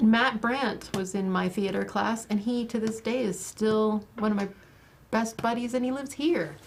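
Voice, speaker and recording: Her voice unremarkable, a woman with an American accent speaks at a moderate pace in a fairly high pitch with ordinary pitch variation. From Montana. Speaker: online show host. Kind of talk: casual chat.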